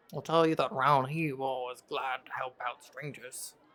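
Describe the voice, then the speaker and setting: Using a put-on character voice, a man sounds gravelly at a medium pitch. He keeps a moderate pace. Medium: actual play. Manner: knowing, conspiratorial.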